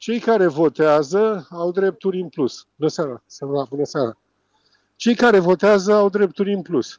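A man speaks at a high pitch and a moderate pace. His intonation is lively, and his loudness swings widely. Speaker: former football referee, pundit. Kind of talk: phone interview on sports radio.

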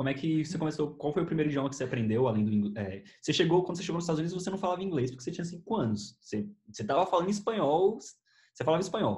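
At a very fast pace with hardly any pauses, a man speaks in a fairly high pitch, making very wide pitch swings. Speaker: YouTuber and podcast host. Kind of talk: casual chat.

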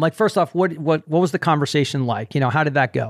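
The man's voice is fairly high, with ordinary pitch variation. The background is quiet. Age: 60s. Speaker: running podcast host. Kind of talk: casual interview chat. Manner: animated.

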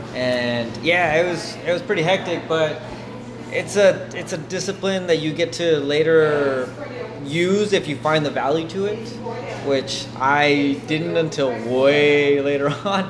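Recorded with audible room echo and noticeable background noise, a man talks fairly slowly at a fairly high pitch with ordinary pitch variation. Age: 20s. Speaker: podcast host. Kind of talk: casual interview chat. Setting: coffee shop.

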